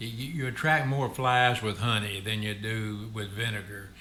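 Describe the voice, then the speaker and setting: In a Southern US accent, a man talks at a very slow pace with a medium pitch, ordinary pitch variation and a bright, sharp tone. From Memphis, Tennessee. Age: 80s+. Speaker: retired trucking company executive. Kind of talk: interview answer.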